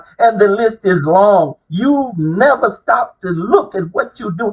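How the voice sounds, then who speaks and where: In a serious tone, a man talks at a high pitch. His pitch swings very widely. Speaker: self-proclaimed religious messenger. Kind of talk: religious preaching monologue. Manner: loud; serious, emphatic.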